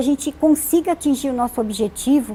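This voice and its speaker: A woman speaks in a high-pitched voice. Her tone is dark and mellow. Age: 60s. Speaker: animal welfare NGO president. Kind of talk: TV interview. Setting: studio. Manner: halting, many fillers.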